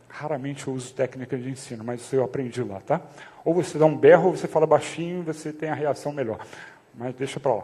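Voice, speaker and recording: Soft-spoken and fairly high-pitched, a man talks at a fairly quick pace with ordinary pitch variation. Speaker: pastor. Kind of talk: sermon. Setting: church. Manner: speaking softly to prompt the congregation; casual, conversational.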